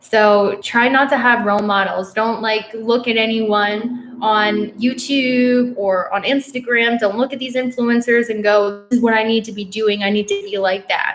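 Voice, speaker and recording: A woman with an American accent, fairly high pitch and monotone, flat intonation at a moderate pace, over noticeable background noise. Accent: sounds very American when speaking Korean. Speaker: witch and astrology youtuber. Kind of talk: live stream Q&A.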